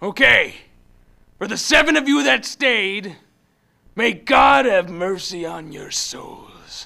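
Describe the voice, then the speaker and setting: A man's put-on character voice, high-pitched and very slow, with long, frequent pauses. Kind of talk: comic overacting. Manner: blustery, commanding, melodramatic.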